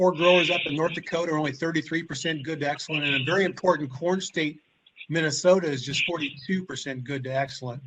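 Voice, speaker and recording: Speaking at a very fast pace, a man with a Midwestern US accent uses a fairly high pitch. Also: ordinary pitch variation. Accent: US Midwest. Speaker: agronomist. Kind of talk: webinar presentation.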